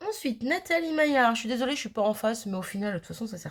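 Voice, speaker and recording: Talking at a very fast pace, a woman sounds somewhat breathy. Her pitch swings very widely. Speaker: crafting youtuber. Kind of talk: casual chat. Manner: hesitant, many fillers.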